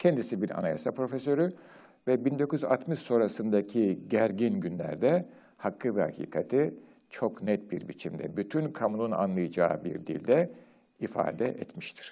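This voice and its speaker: Speaking at a fairly slow pace, a man with a medium-pitched voice makes very wide pitch swings. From Turkey. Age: old. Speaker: retired professor, program host. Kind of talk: lecture. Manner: formal.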